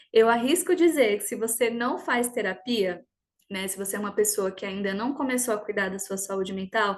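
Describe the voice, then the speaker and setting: An unremarkable speaking voice at a moderate pace with lively intonation. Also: woman, fairly high pitch for a woman. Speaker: personal development coach. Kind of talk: online workshop talk.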